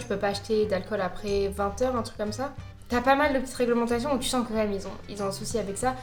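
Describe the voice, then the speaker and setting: With music in the background, a woman speaks at a very fast pace. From France. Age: 20s. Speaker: corporate lawyer. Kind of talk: casual talk to camera. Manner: mumbled, casual slang.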